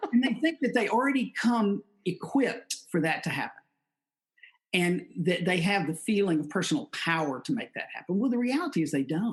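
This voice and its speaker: A man speaks at a fairly quick pace with a high pitch. His pitch swings very widely. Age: 60s. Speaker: leadership consultant and executive coach. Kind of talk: podcast interview. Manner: repeats words, frequent false starts.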